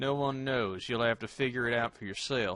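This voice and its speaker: Someone speaks in a put-on character voice with fairly even intonation. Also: man. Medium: read story. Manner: sly, ominous.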